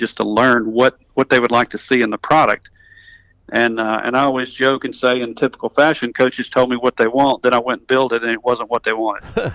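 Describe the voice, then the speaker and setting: Dry and close with no echo, a man's medium-pitched voice runs at a fairly quick pace in a flat monotone. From US South, North Alabama. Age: 50s. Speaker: tech company executive, engineer. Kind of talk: interview. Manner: many fillers and restarts.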